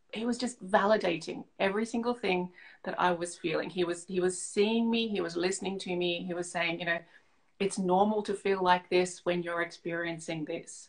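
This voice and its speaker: A woman talks in an Australian accent at a moderate pace. Her pitch is medium and her intonation fairly even. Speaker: leadership coach. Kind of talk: interview.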